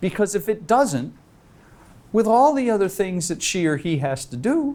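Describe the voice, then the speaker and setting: High male voice in an American accent, dark and mellow in tone, with very wide pitch swings at a moderate pace. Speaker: leadership speaker. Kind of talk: workshop Q&A. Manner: animated.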